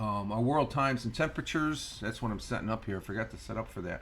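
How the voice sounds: Speaking with an American accent and some vocal fry, a man uses a fairly bright tone and ordinary pitch variation.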